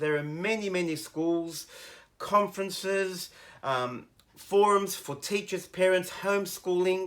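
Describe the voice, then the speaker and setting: Speaking with an Australian accent, a man uses a high pitch with ordinary variation at a fairly slow pace. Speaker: teacher. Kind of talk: educational commentary.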